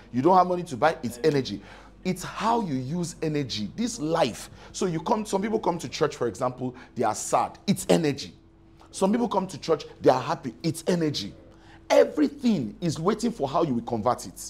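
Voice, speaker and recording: Vocal fry marks the man's fairly quick speech, which has very wide pitch swings. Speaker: preacher. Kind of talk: sermon. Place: church. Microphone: lapel.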